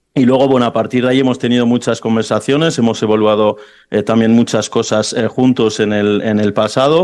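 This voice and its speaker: Over a quiet background, a man talks at a fairly quick pace with medium pitch and fairly even intonation. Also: very even loudness. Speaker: football club president. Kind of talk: press conference speech. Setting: press conference. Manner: halting, many fillers.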